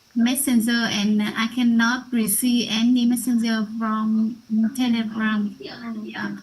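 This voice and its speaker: A woman's fairly high, monotone, flat voice at a very slow pace. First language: Vietnamese. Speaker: student. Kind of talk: class sharing. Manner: halting.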